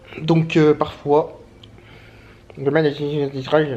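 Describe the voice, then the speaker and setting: The man's voice sits at a fairly high pitch. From France. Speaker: travel vlogger. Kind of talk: casual vlog monologue. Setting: at home, handheld camera. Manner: fast; casual slangy.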